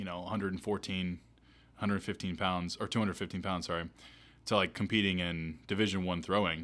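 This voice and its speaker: In a very clean recording with a silent background, a man with an American accent speaks with a very deep, low pitch. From Asheville, North Carolina. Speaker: physical therapist podcast host. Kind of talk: casual chat.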